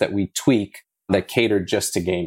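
A man talks in an ordinary speaking voice at a moderate pace, with fairly low pitch and fairly even intonation. The recording is very clean, with a silent background. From South Africa, moved to US at eleven. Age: 30s. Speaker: blockchain gaming entrepreneur. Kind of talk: interview.

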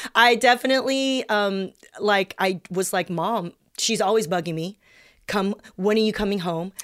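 A woman speaks in a normal speaking voice at a medium pitch, with an American accent and ordinary pitch variation. Her pace is moderate, and the recording is very clean with a silent background. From California, South Bay. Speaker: comedian and writer. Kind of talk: casual chat.

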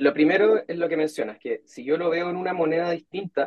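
A man with a Chilean accent talks at a moderate pace. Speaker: portfolio manager. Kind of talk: interview.

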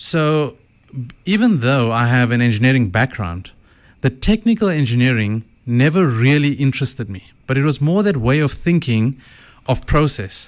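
Pitched at a medium level, a man with a South African accent speaks at a moderate pace. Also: lively intonation, very clean recording, silent background. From South Africa, KwaZulu-Natal Midlands. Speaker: author and former mine manager. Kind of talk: radio interview. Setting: studio.

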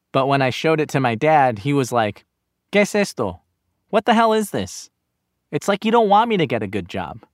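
In a very clean recording with a silent background and a dry, close sound with no echo, a man with a General American accent speaks at a fairly quick pace and fairly high pitch, his pitch swinging very widely. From Los Angeles, Inglewood. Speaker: podcast host and narrator. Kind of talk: scripted narration.

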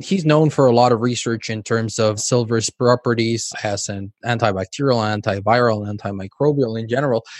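A man's unremarkable speaking voice at medium pitch, with ordinary pitch variation, hardly any pauses, and a dry, close sound with no echo. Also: moderate pace. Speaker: podcast host. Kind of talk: interview conversation.

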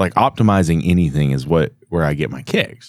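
Vocal fry runs through a man's voice. He talks at a fairly quick pace with lively intonation. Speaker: podcast host. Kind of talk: casual chat. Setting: live at a trade show.

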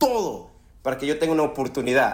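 With very wide pitch swings, a man talks at a fairly high pitch. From Ecuador, raised in Los Angeles from age 7. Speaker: screenwriter and author. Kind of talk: interview conversation.

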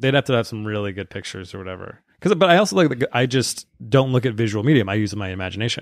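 A man's voice swings very widely in pitch and makes big swings in loudness. The recording is very clean, with a silent background. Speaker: stand-up comedian. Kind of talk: casual chat.

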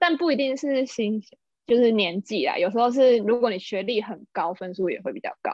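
This woman has an unremarkable speaking voice, pitched fairly high, with lively intonation, big swings in loudness, and a moderate pace. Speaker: office worker living in Japan. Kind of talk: casual chat.

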